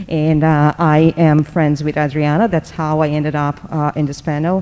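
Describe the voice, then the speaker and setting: A woman's very deep, low voice, dark and mellow in tone, in a Portuguese accent. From Brazil. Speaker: tech professional. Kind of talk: conference panel.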